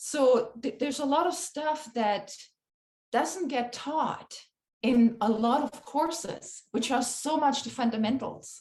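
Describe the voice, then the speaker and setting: A high-pitched woman with a non-native accent, fairly slow pace and ordinary pitch variation. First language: not English. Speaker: animal communicator. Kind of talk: interview conversation. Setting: podcast recording.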